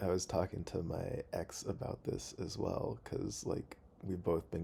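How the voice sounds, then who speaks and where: The man keeps his voice quiet. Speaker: video blogger. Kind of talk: casual monologue. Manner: quiet, hesitant with fillers.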